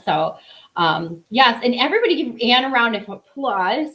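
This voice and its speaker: A woman talks with a strong Chicago accent and lively intonation. Her pace is moderate. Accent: thick Chicago. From Chicago, US Midwest. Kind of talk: live sales stream. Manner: casual, chatty with filler words.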